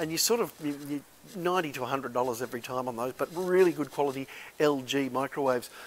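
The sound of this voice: A man talks at a fast pace with a medium pitch. His pitch varies in an ordinary way.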